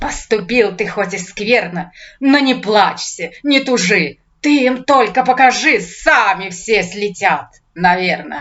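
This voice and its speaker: Doing a put-on character voice, a woman hisses at a medium pitch, with lively intonation and a fairly slow pace. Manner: hissing.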